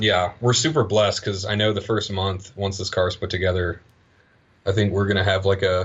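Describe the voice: A man's low-pitched voice at a moderate pace, with little pitch movement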